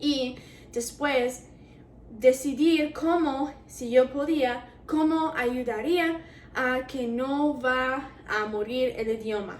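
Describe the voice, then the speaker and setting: A woman speaks at a high pitch with an English accent. Her pitch variation is ordinary. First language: English (speaking Spanish). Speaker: university student vlogger. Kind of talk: casual vlog. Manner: hesitant, with fillers.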